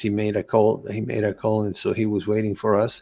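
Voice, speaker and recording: A man with a Spanish accent speaks at a moderate pace and fairly low pitch on a very clean recording with a silent background. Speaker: holistic coach and cancer survivor. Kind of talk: interview testimony. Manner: halting, many repetitions.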